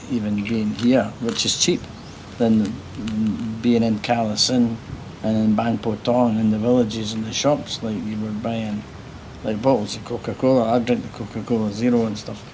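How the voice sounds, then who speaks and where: A man with an Edinburgh accent, medium pitch and monotone, flat intonation at a moderate pace, with audible room echo and noticeable background noise. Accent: Scottish (Edinburgh). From Scotland, Edinburgh. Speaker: travel vlogger. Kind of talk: casual chat; vlog narration. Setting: on a motorbike.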